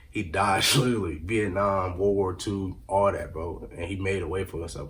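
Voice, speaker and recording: Over noticeable background noise, a man with a fairly low voice speaks very fast. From Rockford area, Illinois. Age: 20s. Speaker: aspiring rapper and former college football player. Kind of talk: casual interview. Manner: slurred words.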